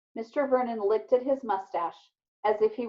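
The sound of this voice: A woman talks at a moderate pace. Her medium pitch shows ordinary pitch variation.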